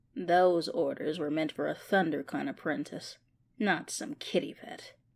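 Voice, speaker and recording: A female-sounding, raspy put-on character voice with a very deep, low pitch for a woman moves at a moderate pace. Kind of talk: voice acting audition. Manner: sneering, contemptuous.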